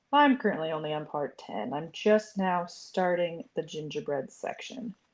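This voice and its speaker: Speaking fairly slowly with an American accent, a woman uses lively intonation. Her pitch is medium. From South Dakota, US. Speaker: crochet content creator. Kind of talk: casual livestream chat and crochet tutorial. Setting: live stream.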